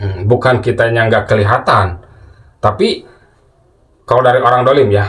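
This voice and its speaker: Long, frequent pauses break up a man's moderate pace. His loudness stays very even at a medium pitch. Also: ordinary pitch variation. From West Java, Sundanese. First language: Sundanese (speaking Indonesian). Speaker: Islamic spiritual teacher, channel owner. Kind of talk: casual religious talk to viewers. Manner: halting, many fillers.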